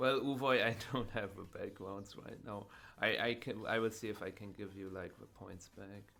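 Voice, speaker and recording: A man speaks at a moderate pace in a fairly low voice with a bright, sharp tone, fairly even intonation and big swings in loudness. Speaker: streamer playing a card game tournament. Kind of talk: live gameplay stream commentary. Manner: quiet, focused.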